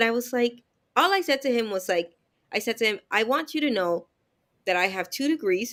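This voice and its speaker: A woman speaks with a Canadian accent. Her pace is fairly quick. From Dominican Republic, raised in Canada from 1995. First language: Spanish. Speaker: live show host and business owner. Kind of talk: casual live chat. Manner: clear enunciation.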